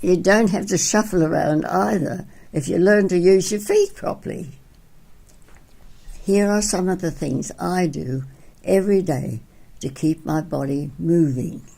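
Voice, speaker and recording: The voice has a dark, mellow tone with vocal fry and lively intonation. It moves at a fairly slow pace with long, frequent pauses. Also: woman. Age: 80s+. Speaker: physical education teacher. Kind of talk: tutorial.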